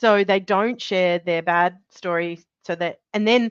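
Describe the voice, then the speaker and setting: With an Australian accent, a woman talks with ordinary pitch variation in a dry, close sound with no echo. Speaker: birth trauma specialist. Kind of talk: interview.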